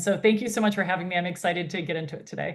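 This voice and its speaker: A woman speaks with an American accent and ordinary pitch variation. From United States. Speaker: founder and CEO of a women's health industry network. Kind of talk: interview.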